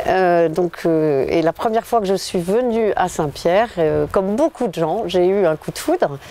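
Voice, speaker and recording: Amid noticeable background noise, a woman with a medium-pitched voice speaks at a fairly slow pace with ordinary pitch variation and hardly any pauses. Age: 60s. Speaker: local election candidate. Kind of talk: interview. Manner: hesitant, many fillers.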